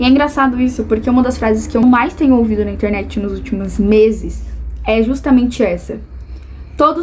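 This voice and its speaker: There is noticeable background noise. Over it, a woman speaks at a moderate pace. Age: 20s. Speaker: vlogger. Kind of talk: personal vlog monologue.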